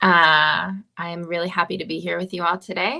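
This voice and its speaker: A woman's voice with a bright, sharp tone. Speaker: author. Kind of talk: panel discussion.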